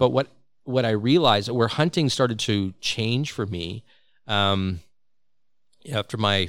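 A man speaks in a plain, everyday voice at a moderate pace with ordinary pitch variation. The recording is very clean, with a silent background. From Saskatchewan, Canada (Regina). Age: 50s. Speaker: podcast host, hunter. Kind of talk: casual chat. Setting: studio.

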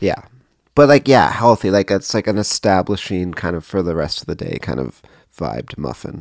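This man has a very deep, low voice with vocal fry and a Canadian accent, and his pitch swings very widely. He talks at a moderate pace with big shifts in loudness, and the sound is dry and close with no echo. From Canada, Cambridge, Ontario. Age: 40s. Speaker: songwriter and record label owner. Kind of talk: casual interview.

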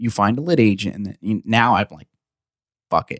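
With a New Jersey accent, a man talks at a fairly quick pace and fairly low pitch with ordinary pitch variation, the sound dry and close with no echo on a very clean recording with a silent background. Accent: New Jersey American. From New Jersey, US. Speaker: author and comedian. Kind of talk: casual chat. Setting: studio.

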